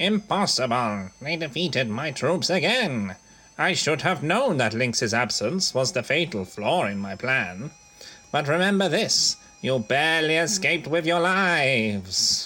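With music in the background, a man speaks at a moderate pace in a fairly high pitch, swinging very widely in pitch. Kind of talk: comic overacting villain. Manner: blustering, boastful.

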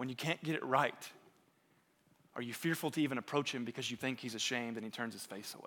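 In a very clean recording with a silent background, a man with a medium pitch and a bright, sharp tone talks at a very fast pace, with ordinary pitch variation and big swings in loudness. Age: 30s. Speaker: pastor. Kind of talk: sermon.

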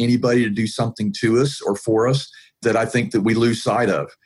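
At a fairly quick pace, a man with a plain, everyday voice talks at a medium pitch in an American accent. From US South, Atlanta, Georgia. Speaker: IT professional and pain advocate. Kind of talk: interview conversation. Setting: video call.

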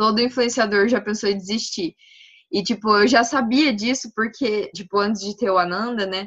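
A woman speaks in an unremarkable speaking voice, fairly high in pitch. Her pace is moderate and her pitch varies in an ordinary way. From Brazil, Paraná (Maringá). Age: 20s. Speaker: medical student and cannabis influencer. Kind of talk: casual interview chat.

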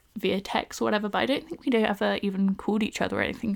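On a very clean recording with a silent background, the pitch varies in an ordinary way. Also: woman. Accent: southern English. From southern England, Bournemouth. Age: 20s. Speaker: podcast host. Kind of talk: casual solo podcast monologue.

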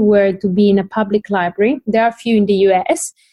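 A woman with a non-native accent talks fairly quickly at a fairly high pitch. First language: not English. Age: 20s. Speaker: environmental economist and PhD researcher, tool library founder. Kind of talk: interview.

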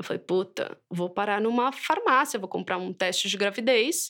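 A woman with a plain, everyday voice, medium pitch and ordinary pitch variation. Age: 30s. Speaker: mother and writer. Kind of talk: interview, personal testimony.

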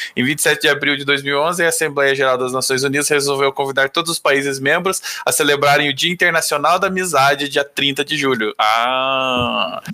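A man with a fairly high pitch speaks at a moderate pace, barely pausing. He has an ordinary speaking voice and fairly even intonation. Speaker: podcast intern and editor. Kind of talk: casual chat.

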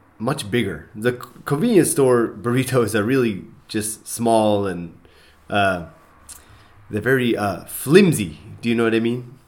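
A man's voice at medium pitch. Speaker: English conversation teacher and podcast co-host. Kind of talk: casual chat. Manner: halting.

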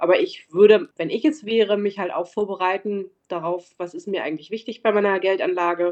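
A woman talking at a fairly quick pace with ordinary pitch variation. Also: medium pitch for a woman. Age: 40s. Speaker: bank advisor for medical professionals. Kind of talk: interview. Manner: some hesitation fillers.

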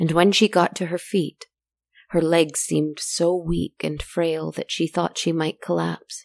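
A woman's theatrical, gentle tone at a fairly slow pace, with a dry, close sound and no echo. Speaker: storyteller podcast narrator. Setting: solo recording, podcast. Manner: slow, hushed, dreamy and theatrical, with long pauses and a gentle lulling rhythm; intimate and confiding, speaking directly to listeners as friends.

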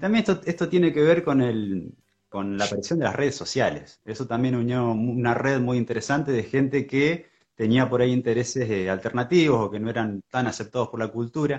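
At a fairly quick pace, a man speaks in a normal speaking voice at medium pitch. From Argentina, Buenos Aires province (Coronel Suárez). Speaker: cannabis activist and shop owner. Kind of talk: podcast interview.

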